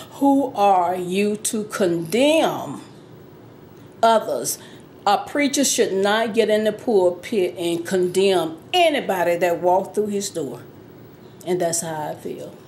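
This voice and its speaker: A woman's very slow, lively-intoned speech with audible room echo. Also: medium pitch for a woman. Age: 60s. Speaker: interviewee sharing personal experience. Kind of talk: testimony.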